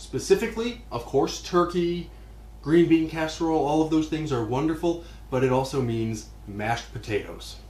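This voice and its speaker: The pace is moderate. Room echo is audible. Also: man. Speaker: cooking show host. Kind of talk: tutorial. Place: kitchen.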